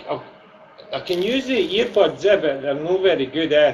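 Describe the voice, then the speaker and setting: With noticeable background noise around him, a man talks at a moderate pace, his intonation lively. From Scotland, Fife (Glenrothes). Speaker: gaming streamer. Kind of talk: casual chat.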